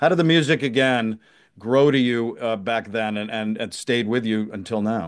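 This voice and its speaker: This man has a plain, everyday voice, medium in pitch, and he keeps a moderate pace. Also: ordinary pitch variation. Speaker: podcast host. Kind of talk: interview questions.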